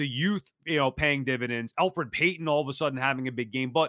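Bright and sharp in tone, a man speaks at a fairly quick pace in a very clean recording with a silent background and a dry, close sound with no echo. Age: 40s. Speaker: sports podcast host. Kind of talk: casual sports talk.

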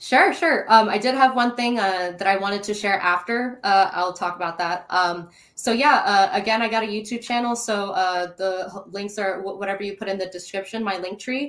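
With noticeable background noise, a woman speaks in an animated tone at a moderate pace, her medium pitch showing ordinary variation. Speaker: guest, star seed YouTuber. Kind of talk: casual interview chat, storytelling. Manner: animated, excitable.

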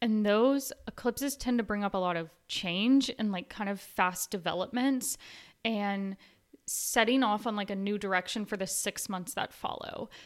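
Recorded very cleanly against a silent background, a woman with a plain, everyday voice speaks at a moderate pace and medium pitch with ordinary pitch variation. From US South, Nashville. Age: 20s. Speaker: astrologer. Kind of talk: interview, explaining astrology.

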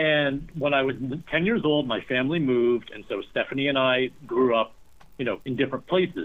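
In an ordinary speaking voice, a man with an American accent talks at a fairly high pitch. He moves at a fairly quick pace with ordinary pitch variation. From US, rural small town. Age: 50s. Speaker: novelist. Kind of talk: interview.

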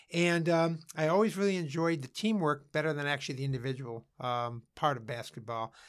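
A man with a Cleveland accent speaks at a fairly quick pace with hardly any pauses, his pitch fairly high and its variation ordinary. The recording is very clean, with a silent background. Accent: Inland Northern US (Cleveland). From Northeast Ohio, Cleveland area. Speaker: former basketball coach and businessman, author. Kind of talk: interview.

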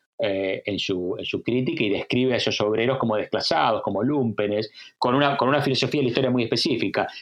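Very fast male speech holds a medium pitch and shows ordinary pitch variation. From Argentina. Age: 50s. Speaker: historian. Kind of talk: interview. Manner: halting.

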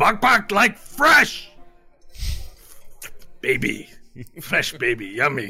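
A put-on character voice at a very slow pace, with long, frequent pauses and faint music in the background. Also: man, high pitch for a man. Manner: gleeful, hungry.

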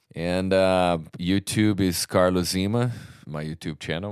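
In a Portuguese accent, a man with a very deep, low pitch speaks with fairly even intonation on a very clean recording with a silent background. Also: dry, close sound with no echo. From Brazil. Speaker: metal vocalist. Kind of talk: casual interview.

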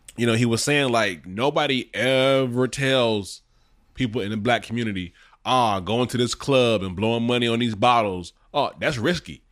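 This man's pitch is medium, varies in an ordinary way, and his pace is moderate. The background is silent on a very clean recording. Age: 40s. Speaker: podcast co-host. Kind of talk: casual chat.

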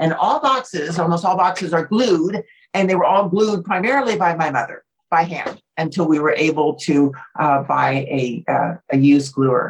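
A woman with an American accent and a normal speaking voice speaks at a moderate pace, fairly low in pitch, with lively intonation. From New Jersey, then southern California from age 13. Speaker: business owner and motivational speaker. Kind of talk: interview.

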